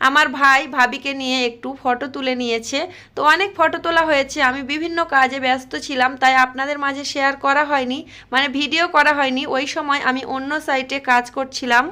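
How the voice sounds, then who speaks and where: A raised, projected voice with a bright, sharp tone and fairly even intonation. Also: woman, high pitch for a woman. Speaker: vlogger. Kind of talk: vlog voice-over narration.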